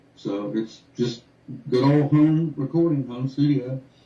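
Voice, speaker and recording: With an American accent, a man talks at a fairly slow pace amid noticeable background noise. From North Carolina, US. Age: 60s. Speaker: musician. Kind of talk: radio interview.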